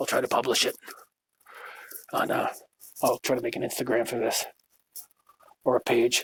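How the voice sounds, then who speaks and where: A man talks at a very fast pace in a medium pitch with monotone, flat intonation. The sound is dry and close, with no echo. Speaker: podcaster, veteran. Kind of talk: personal testimony monologue. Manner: halting, with many fillers and pauses.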